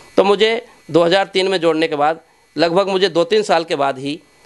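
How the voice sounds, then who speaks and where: This voice belongs to a man. His pitch is high. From Rajasthan, Bharatpur district; Rajasthan. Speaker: community organisation leader. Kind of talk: interview. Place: home room. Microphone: handheld.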